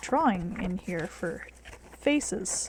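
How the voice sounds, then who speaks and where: Soft-spoken and very slow, a woman's voice moves through very wide pitch swings over noticeable background noise. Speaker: art tutorial youtuber. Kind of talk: tutorial. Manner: casual.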